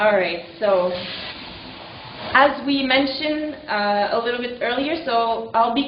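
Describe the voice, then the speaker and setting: A woman with a high pitch speaks at a moderate pace amid noticeable background noise and audible room echo. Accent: French Canadian. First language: French. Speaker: kinesiology lecturer. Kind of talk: lecture. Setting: presentation to live and online audience. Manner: hesitant, with fillers.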